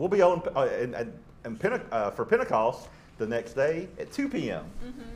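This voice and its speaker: Light background noise behind a man speaking. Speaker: show host. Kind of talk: casual talk-show chat and announcements. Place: studio. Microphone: lapel.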